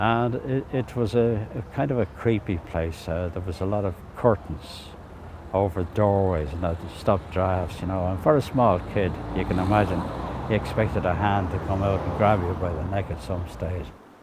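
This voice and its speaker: A man with a Dublin accent speaks at a very deep, low pitch and moderate pace with ordinary pitch variation, over noticeable background noise. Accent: Dublin Irish. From Dublin inner city. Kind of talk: oral history interview.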